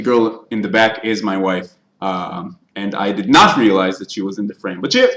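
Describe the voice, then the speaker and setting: Speaking with an Israeli accent, a man keeps a moderate pace and a fairly low pitch with ordinary pitch variation. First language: Hebrew. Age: 20s. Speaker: YouTuber, TV show reviewer. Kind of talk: live stream Q&A chat. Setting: live stream. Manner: halting.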